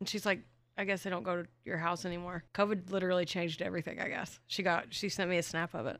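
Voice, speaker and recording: A very fast pace on a very clean recording with a silent background. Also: woman, fairly low pitch for a woman, ordinary pitch variation. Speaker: true crime podcast co-host. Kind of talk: casual storytelling chat. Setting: recording studio. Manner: loud.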